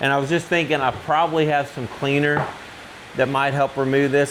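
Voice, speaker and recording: A man speaks fairly quickly while noticeable background noise runs behind him. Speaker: DIY tool repair youtuber. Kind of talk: tutorial. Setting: workshop with metal roof. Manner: casual with fillers; loud.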